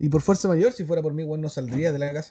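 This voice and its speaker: Talking fairly quickly with a Chilean accent, a man uses a fairly high pitch, ordinary pitch variation and a dark, mellow tone. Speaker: podcast host. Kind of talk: casual chat. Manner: animated.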